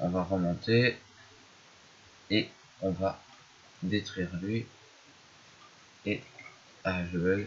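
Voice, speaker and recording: Quiet and very slow, a man speaks in a very deep, low pitch with a monotone, flat intonation and long, frequent pauses. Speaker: gaming youtuber. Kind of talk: gameplay commentary. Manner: hesitant. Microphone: poor microphone.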